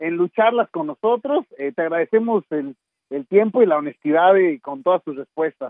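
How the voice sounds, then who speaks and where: With lively intonation, a high-pitched man speaks at a moderate pace. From Mexico City. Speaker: wrestling interview show host. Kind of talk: casual interview.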